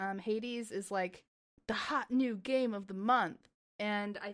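Pitched fairly high, a woman talks in a plain, everyday voice. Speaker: podcast host. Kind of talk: casual chat.

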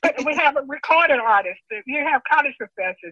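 A woman with a high pitch, in a Southern US accent, at a moderate pace. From Mississippi. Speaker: retired teacher and guidance counselor. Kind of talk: oral history interview.

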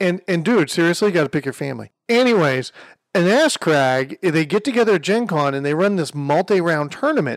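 A man with a high pitch speaks at a fairly quick pace in an animated, energetic tone with lively intonation. The sound is dry and close with no echo, in a very clean recording with a silent background. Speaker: podcast co-host. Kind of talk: casual banter. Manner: animated, joking, energetic.

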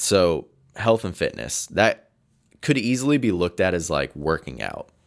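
A man with a fairly low pitch and vocal fry talks at a moderate pace, his pitch swinging very widely, on a very clean recording with a silent background. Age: 30s. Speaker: podcast host. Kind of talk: solo monologue podcast. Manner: casual, with filler words.

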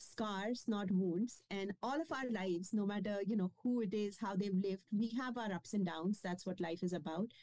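Speaking in a Kashmiri accent, a woman has a fairly high pitch, a dark, mellow tone, and ordinary pitch variation. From India, Kashmiri-speaking. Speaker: nonprofit founder and author. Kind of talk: interview.

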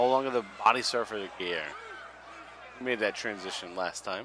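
A man speaks in an animated tone with lively intonation. Noticeable background noise is present. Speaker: wrestling podcast host. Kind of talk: casual chat, watch-along podcast. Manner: animated, profane.

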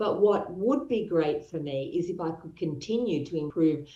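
A woman speaks with an Australian accent. Her pitch is fairly low, with ordinary pitch variation. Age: 60s. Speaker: property investment expert. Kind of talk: interview.

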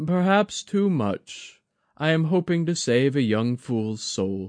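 A man puts on a character voice with a fairly high pitch. He speaks at a fairly slow pace against a quiet background. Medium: read story. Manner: measured, courteous, self-deprecating.

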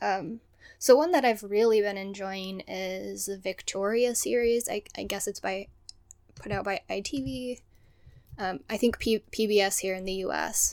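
A woman speaks with an American accent at a moderate pace and medium pitch. Her pitch varies in an ordinary way, and she has an unremarkable speaking voice. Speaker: podcast co-host, PhD student. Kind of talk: casual chat, podcast discussion.

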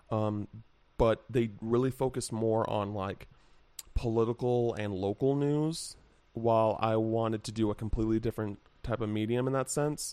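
A man with an American accent speaks at a moderate pace and a medium pitch. His tone is dark and mellow, and his intonation stays fairly even. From Henderson, Nevada (Las Vegas area). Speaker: games journalist. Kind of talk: casual chat.

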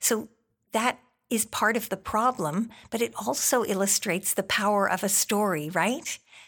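A woman with an unremarkable speaking voice talks at a moderate pace in a medium pitch, with ordinary pitch variation and very even loudness. The recording is very clean, with a silent background. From Canada. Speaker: physician and health educator. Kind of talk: interview.

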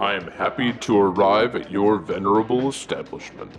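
Through clear background noise, a man performs a put-on character voice at a fairly low pitch and a moderate pace. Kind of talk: formal, archaic politeness. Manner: grand, formal, put-on.

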